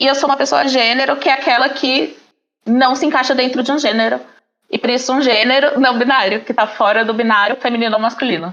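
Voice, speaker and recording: Fairly quick speech at very even loudness, with ordinary pitch variation. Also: woman, high pitch for a woman. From Paraná, southern Brazil. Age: 20s. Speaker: podcast guest, teacher. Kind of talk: podcast interview.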